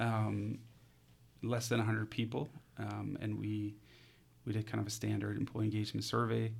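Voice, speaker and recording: A man speaks in a fairly low pitch, somewhat breathy, with monotone, flat intonation. He leaves long, frequent pauses. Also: moderate pace. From Denmark, near Copenhagen. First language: Danish. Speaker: HR consultant. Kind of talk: casual interview.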